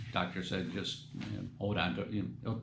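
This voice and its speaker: In an audibly echoing room, a man with an American accent speaks at a fairly low pitch in a somewhat breathy voice. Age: 70s. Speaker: metal detecting youtuber. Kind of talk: casual vlog talk. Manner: halting, many fillers.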